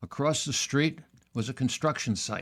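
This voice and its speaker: A man talks at a moderate pace with a New York accent. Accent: New York American. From New York area, US. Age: 80s+. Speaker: author. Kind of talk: interview storytelling. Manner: halting.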